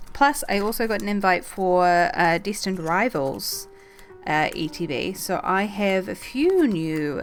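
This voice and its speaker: Over background music, a woman speaks at a fairly slow pace with a medium pitch and lively intonation. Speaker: streamer. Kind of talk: casual talk to camera.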